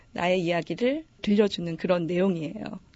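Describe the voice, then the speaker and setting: This woman has an ordinary speaking voice, medium in pitch and moderate in pace. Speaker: book editor. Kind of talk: book introduction.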